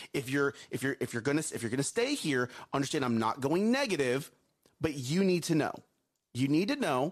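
A man with a fairly high voice talks at a fairly quick pace, his tone animated and his intonation lively. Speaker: morning show co-host. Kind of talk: casual chat. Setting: studio. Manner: loud.

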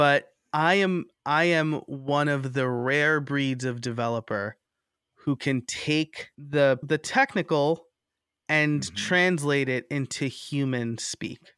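A plain, everyday voice from a man with an American accent, fairly high-pitched, with ordinary pitch variation, on a very clean recording with a silent background and a dry, close sound with no echo. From New York. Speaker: podcaster and online course creator. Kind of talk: interview.

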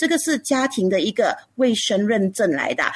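A woman speaks at a fairly high pitch in a somewhat breathy voice with lively intonation, on a very clean recording with a silent background. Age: 40s. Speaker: food business founder. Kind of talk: radio interview.

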